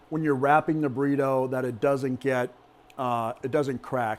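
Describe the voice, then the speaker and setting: In an ordinary speaking voice, a man with a fairly high pitch talks at a fairly slow pace and with fairly even intonation. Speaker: cooking channel host. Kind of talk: cooking tutorial. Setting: kitchen with people in the room.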